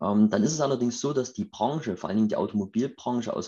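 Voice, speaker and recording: Speaking at medium pitch, a man has a dark, mellow tone. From Saxony, Chemnitz (eastern Germany). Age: 30s. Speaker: startup founder. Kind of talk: interview.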